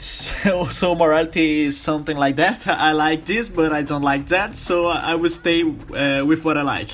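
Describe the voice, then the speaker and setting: Speaking with a Brazilian accent, a man has a fairly high pitch and fairly even intonation. He talks at a moderate pace over noticeable background noise. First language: Portuguese. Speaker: podcast host. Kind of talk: interview. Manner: halting.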